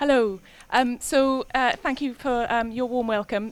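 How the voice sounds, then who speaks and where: In a very clean recording with a silent background, a woman talks in a Welsh accent. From Wales. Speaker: concert musician introducing pieces. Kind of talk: stage introduction to live audience. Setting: live concert with audience. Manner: hesitant, many fillers.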